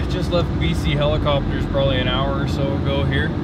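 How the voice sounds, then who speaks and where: A man talks at a moderate pace over loud background noise. The sound is dry with no echo. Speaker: vlogger. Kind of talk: casual vlog chat. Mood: upbeat, reflective. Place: car.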